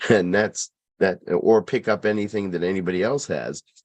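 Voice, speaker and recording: Against a quiet background, a man talks at a moderate pace. His voice has vocal fry. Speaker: presenter on faith teachings. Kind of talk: lecture. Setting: video call. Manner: halting, many fillers.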